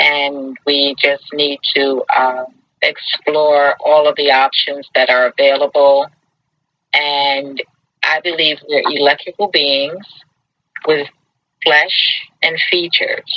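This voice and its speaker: A woman with an American accent, very deep and low in pitch, very even in loudness, flat and monotone, at a very slow pace with long, frequent pauses. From Brooklyn, New York. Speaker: talk show host. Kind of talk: casual chat.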